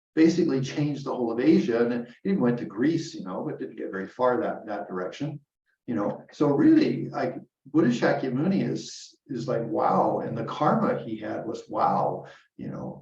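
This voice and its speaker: A man at medium pitch with lively intonation, a moderate pace and audible room echo. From Canada. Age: 70s. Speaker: Buddhist teacher. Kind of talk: dharma talk. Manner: casual, halting with repetitions.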